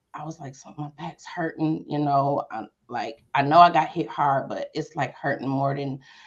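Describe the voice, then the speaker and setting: Fairly even intonation is heard against a quiet background. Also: woman. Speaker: domestic violence survivor sharing her story. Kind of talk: testimony.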